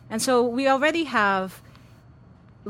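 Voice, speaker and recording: With lively intonation, a woman speaks in a normal speaking voice with an American accent. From New York City. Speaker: professor. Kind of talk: interview. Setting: studio with live audience.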